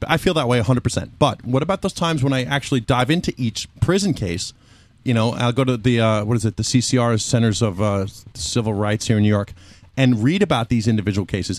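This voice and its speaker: In a plain, everyday voice, a man speaks at a medium pitch and a fairly quick pace. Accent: American. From Mexican American. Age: 30s. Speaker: podcast guest. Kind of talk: casual chat.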